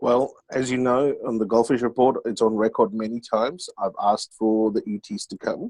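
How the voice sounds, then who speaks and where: A man with an Australian accent, medium pitch, fairly even intonation and hardly any pauses. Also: moderate pace, dry, close sound with no echo. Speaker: panel co-host. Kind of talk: panel discussion.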